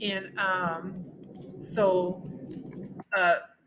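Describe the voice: A woman at a very slow pace, fairly low in pitch, with a fairly bright tone and little pitch movement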